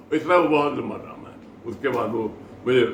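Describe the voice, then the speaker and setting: This man's moderately paced speech comes through noticeable background noise. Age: 80s+. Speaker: theatre actor. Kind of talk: interview answer.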